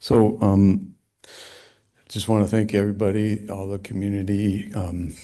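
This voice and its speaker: A soft-spoken man with a very deep, low pitch, a dark, mellow tone and monotone, flat intonation. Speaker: landscape architect, public commenter. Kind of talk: public comment at meeting. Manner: soft-spoken, hard to hear; hesitant, many fillers.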